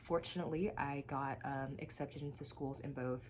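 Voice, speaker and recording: In an American accent, this voice moves at a moderate pace with fairly even intonation and vocal fry. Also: woman. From Texas, Dallas. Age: 20s. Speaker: graduate student. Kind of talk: tutorial.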